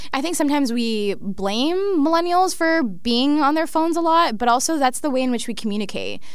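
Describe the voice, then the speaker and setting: In a Toronto accent, a woman talks at a fairly quick pace with a high pitch and lively intonation over noticeable background noise. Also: hardly any pauses. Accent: Canadian (Toronto). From Canada, Scarborough, Toronto. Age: young. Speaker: technology fellow and community organizer. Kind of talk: interview.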